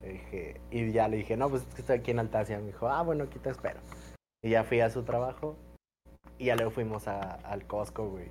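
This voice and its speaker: A man with a Mexican accent talks at a fairly quick pace. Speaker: sports podcast co-host. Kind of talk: casual chat.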